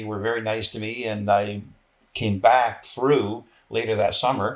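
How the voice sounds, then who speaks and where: Here a man speaks in a Canadian accent at a moderate pace. His fairly low voice has monotone, flat intonation. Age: 60s. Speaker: military veteran. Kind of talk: interview conversation. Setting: sit-down interview.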